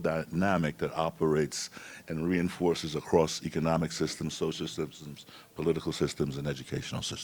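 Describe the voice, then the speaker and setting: An American accent at a moderate pace, on a very clean recording with a silent background. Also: man. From New York City. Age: 70s. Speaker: panel moderator. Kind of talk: panel discussion.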